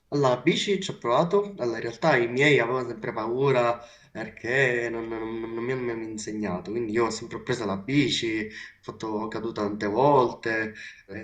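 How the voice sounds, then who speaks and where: There is noticeable background noise as a man talks. His pace is moderate and his pitch variation ordinary. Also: medium pitch for a man. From Sicily. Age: young. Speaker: blind monowheel rider. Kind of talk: interview. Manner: halting.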